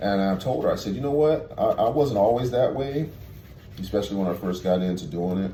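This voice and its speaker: A man talks at a fairly quick pace with lively intonation and a fairly low pitch. Room echo is audible. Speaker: tour bus driver. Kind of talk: casual vlog monologue. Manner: halting, many fillers.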